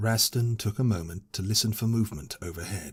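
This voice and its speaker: A man with a British accent speaks at a moderate pace in a fairly low, somewhat breathy voice with ordinary pitch variation, on a very clean recording with a silent background. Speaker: audiobook narrator. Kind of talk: audiobook fantasy story reading.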